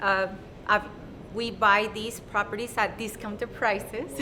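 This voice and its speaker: A woman talks at a medium pitch with fairly even intonation. Her pace is moderate, with noticeable background noise. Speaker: real estate agent. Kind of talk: interview. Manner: halting.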